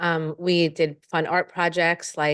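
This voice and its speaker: A woman with a fairly low pitch against a quiet background. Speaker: elementary Spanish teacher. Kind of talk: presentation. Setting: school board meeting.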